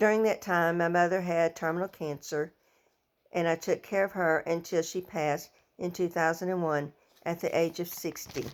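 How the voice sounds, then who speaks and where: A woman with an American accent speaks at a moderate pace and fairly low pitch. Her intonation is monotone and flat, on a very clean recording with a silent background. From southern Illinois and Missouri Bootheel / Arkansas. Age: 60s. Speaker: education student and former teaching aide. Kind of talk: personal introduction, self-presentation. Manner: halting, some self-corrections.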